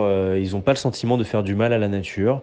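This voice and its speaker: Fairly even intonation and a moderate speed from an ordinary speaking voice. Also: man. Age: 20s. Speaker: political journalist. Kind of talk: casual voice messages.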